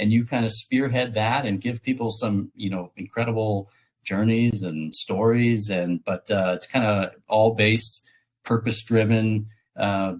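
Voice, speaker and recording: A man with an American accent speaks at a fairly slow pace in fairly even intonation. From United States. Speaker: podcast host. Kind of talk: interview. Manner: hesitant, many fillers.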